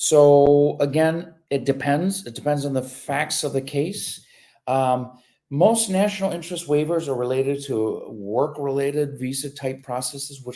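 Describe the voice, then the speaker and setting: A man with a Michigan accent speaks at a moderate pace with ordinary pitch variation. His voice is fairly high and has a dark, mellow tone. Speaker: immigration lawyer. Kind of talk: live Q&A stream. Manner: casual, with many fillers.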